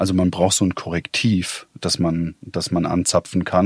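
A man talks with a very deep, low pitch. The sound is dry and close with no echo, in a very clean recording with a silent background. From Weinheim, Baden-Württemberg, Germany. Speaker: audio journalist. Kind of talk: interview conversation. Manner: hesitant, many filler sounds.

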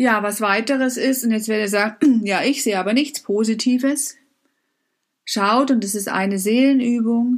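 A woman's fairly high voice keeps fairly even intonation. She speaks at a moderate pace. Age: 50s. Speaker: life coach. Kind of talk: motivational talk.

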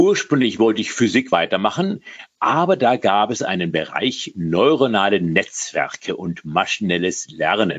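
A man's plain, everyday voice, fairly slow in pace, with lively intonation. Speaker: data scientist. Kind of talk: interview.

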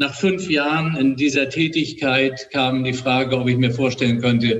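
With a normal speaking voice, a man talks at a fairly slow pace and medium pitch, keeping his intonation fairly even. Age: 60s. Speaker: hospital director and ENT doctor. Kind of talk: interview. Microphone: makeshift recording setup, slightly poor audio.

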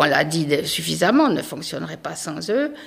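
This woman speaks at a fairly slow pace. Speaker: local resident. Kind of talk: panel discussion. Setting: town hall meeting room.

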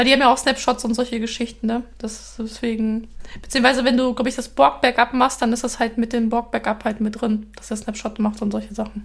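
A woman talks at a fairly quick pace with vocal fry and fairly even intonation. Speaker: software developer podcast co-host. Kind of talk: casual chat.

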